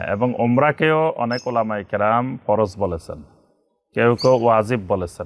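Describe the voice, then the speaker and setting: Pitched at a medium level, a man's voice shows ordinary pitch variation and is a normal speaking voice. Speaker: Islamic scholar and preacher. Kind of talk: religious lecture.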